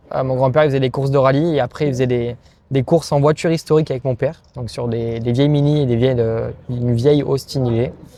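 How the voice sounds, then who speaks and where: A man talks very fast at a medium pitch. His intonation stays fairly even. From southern France. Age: 20s. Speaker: racing driver. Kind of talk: interview. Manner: hesitant, many fillers.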